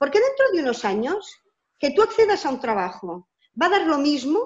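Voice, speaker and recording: The woman's pitch swings very widely. She speaks at a fairly quick pace. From Barcelona, Catalonia, Spain. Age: 50s. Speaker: educator. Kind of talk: interview.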